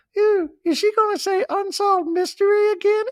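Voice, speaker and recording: A put-on character voice at a fairly slow pace. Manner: complaining, pleading.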